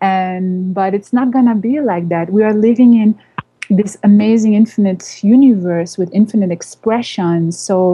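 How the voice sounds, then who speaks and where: A woman speaks at a fairly slow pace, somewhat breathy. Her intonation stays fairly even. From Indian family background, raised abroad. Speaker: spiritual teacher and channel. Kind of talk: radio interview.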